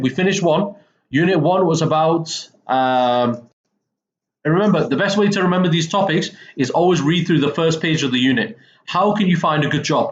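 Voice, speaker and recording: Speaking at a moderate pace, a man with a Mancunian accent uses a high pitch and lively intonation. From northern England, Manchester. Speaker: English teacher. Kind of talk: lecture. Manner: casual, frequent okay fillers.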